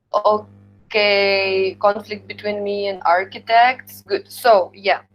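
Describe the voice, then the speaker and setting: A woman's medium-pitched, flat monotone at a very slow pace, with a strong Slavic accent. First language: Ukrainian. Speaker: university lecturer. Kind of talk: lecture. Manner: halting.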